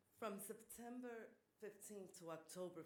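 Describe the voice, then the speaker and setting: A woman talks at a fairly slow pace with ordinary pitch variation. The room echo is audible. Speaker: community organization leader. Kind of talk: prepared speech. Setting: town board meeting.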